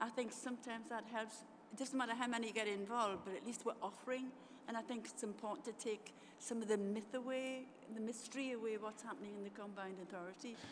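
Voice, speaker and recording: A woman speaks at a very fast pace with fairly even intonation, with audible room echo and noticeable background noise. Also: fairly high pitch for a woman. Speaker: councillor. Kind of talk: formal council meeting.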